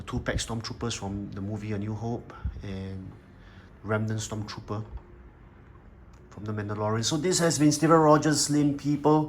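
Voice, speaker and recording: In a room with audible echo, a man at a medium pitch speaks with lively intonation, big swings in loudness, and long, frequent pauses. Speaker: toy collector and reviewer. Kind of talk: product review video. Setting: indoors under natural daylight. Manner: fast.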